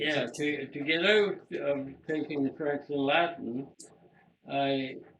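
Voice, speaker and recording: A man talks very slowly, his pitch fairly high and his intonation fairly even. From Lakefield, Ontario, Canada. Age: 80s+. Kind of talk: interview answer.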